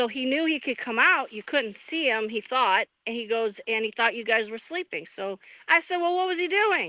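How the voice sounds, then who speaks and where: In a loud, bright, sharp tone, a woman talks at a moderate pace with a high pitch and very wide pitch swings, the sound dry and close with no echo. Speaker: Bigfoot eyewitness. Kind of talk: interview. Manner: halting.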